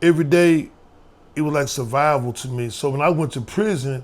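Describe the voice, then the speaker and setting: An unremarkable speaking voice comes through with an American accent. The pace is fairly quick and the pitch variation ordinary. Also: man. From US Midwest, St. Louis, Missouri. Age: 60s. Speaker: former prisoner and youth mentor. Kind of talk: interview testimony.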